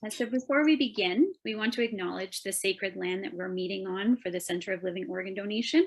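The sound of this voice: At a fairly quick pace, a woman speaks at medium pitch with ordinary pitch variation.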